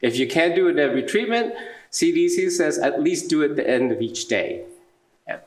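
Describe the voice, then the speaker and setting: Audible room echo follows a man as he talks at a fairly quick pace. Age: 70s. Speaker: dialysis clinician and conference speaker. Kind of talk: lecture.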